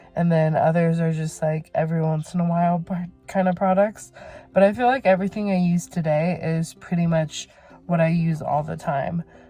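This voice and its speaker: Music plays in the background as a woman speaks. Her pitch is fairly low, her pace moderate, and her intonation fairly even. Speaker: beauty vlogger. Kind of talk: casual vlog talk. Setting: in a car. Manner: halting, stuttering.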